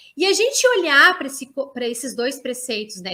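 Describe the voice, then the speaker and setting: A woman with a high pitch and a bright, sharp tone uses a raised, projected voice at a moderate pace. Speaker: university professor and education researcher. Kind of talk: online lecture. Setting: online live stream. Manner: hesitant fillers, frequent 'né'.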